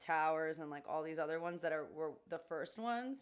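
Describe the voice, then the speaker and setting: A woman with an American accent speaks in a normal speaking voice, fairly low in pitch and at a fairly quick pace. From New York City, Queens (Jackson Heights). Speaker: podcast co-host. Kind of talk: casual chat.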